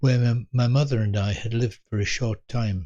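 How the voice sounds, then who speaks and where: A man speaks at a fairly slow pace in a somewhat breathy voice of medium pitch. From England. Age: 80s+. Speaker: elderly storyteller. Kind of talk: personal storytelling. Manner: reflective, unhurried; occasional stumbles and repetitions.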